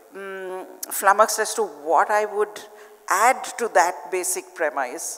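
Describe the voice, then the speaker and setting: Loudness swings widely while pitch varies in an ordinary way. Delivery is very slow, over noticeable background noise. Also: woman, medium pitch for a woman. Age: 60s. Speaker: children's author. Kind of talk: panel discussion. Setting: stage with audience.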